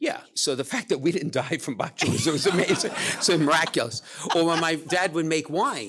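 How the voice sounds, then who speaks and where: With a Brooklyn accent, a man talks at a moderate pace, his fairly high voice carrying lively intonation. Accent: New York (Brooklyn). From Brooklyn, New York, US. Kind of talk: casual chat. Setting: stage with audience.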